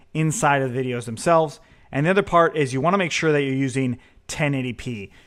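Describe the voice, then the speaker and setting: Here is a man with an ordinary speaking voice, fairly high in pitch, with ordinary pitch variation. The recording is very clean, with a silent background. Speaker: programming instructor. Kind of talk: tutorial.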